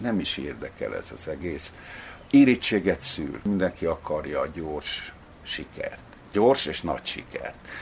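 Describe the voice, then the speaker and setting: A man talks very slowly while noticeable background noise runs underneath. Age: old. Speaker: novelist. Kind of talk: interview. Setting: at home.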